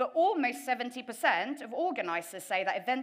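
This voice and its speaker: In a British accent, a woman talks at a fairly quick pace. Her voice is fairly high, with very wide pitch swings. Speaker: event tech professional. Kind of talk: conference presentation.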